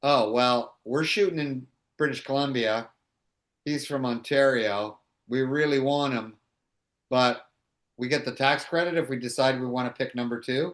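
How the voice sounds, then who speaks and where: A man speaks with a Toronto accent and a medium pitch. He goes at a moderate pace with long, frequent pauses. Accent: Canadian English (Toronto). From Canada, Toronto (Little Italy). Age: 60s. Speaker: actor. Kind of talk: interview, casual chat. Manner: halting, many fillers and restarts.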